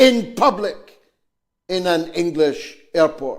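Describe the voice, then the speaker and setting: A man with a Scottish accent speaks with lively intonation. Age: 70s. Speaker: politician. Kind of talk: public statement.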